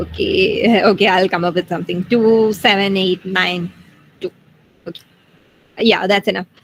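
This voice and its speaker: At a moderate pace and medium pitch, a woman speaks with monotone, flat intonation and long, frequent pauses. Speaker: student tutor. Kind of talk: tutorial.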